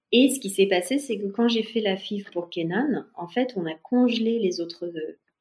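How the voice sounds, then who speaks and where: Somewhat breathy and medium in pitch, a woman speaks at a fairly slow pace with hardly any pauses and ordinary pitch variation. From France. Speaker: expat mother. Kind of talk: testimony.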